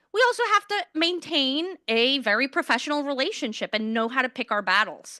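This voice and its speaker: A woman with a high pitch projects her voice at a moderate pace, her pitch swinging very widely. Her tone is bright and sharp, and the sound is dry and close with no echo. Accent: American. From Queens, New York City. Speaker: politician, mayoral candidate. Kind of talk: candidate forum Q&A. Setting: stage with audience in a law school room.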